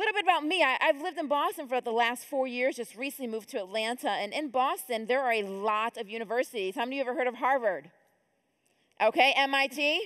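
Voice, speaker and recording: A woman speaks very fast with lively intonation in an American accent. Her pitch is high, and the background is quiet. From upstate New York (Rochester). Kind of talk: conference talk. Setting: stage with audience. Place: church. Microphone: headset.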